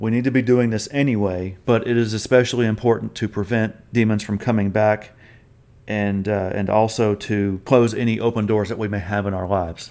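On a very clean recording with a silent background, a man with an ordinary speaking voice talks at a fairly quick pace and a fairly low pitch, with fairly even intonation. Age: 40s. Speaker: podcast host, deliverance ministry teacher. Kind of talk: bible teaching.

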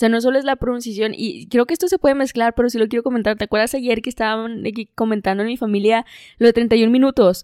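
Speaking very fast with a northern Mexican accent, a woman's voice sits fairly high, with ordinary pitch variation. The recording is very clean, with a silent background and a dry, close sound with no echo. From northern Mexico. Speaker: podcast co-host. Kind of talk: casual chat.

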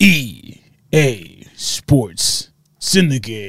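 A man does a put-on character voice at medium pitch, making very wide pitch swings. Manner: booming, announcer-style.

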